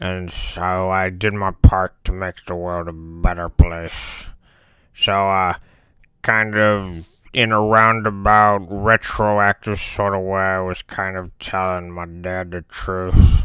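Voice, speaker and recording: A man uses a put-on character voice with a very deep, low pitch at a fairly slow pace. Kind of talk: comedic character monologue to camera. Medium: role play. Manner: casual, rambling.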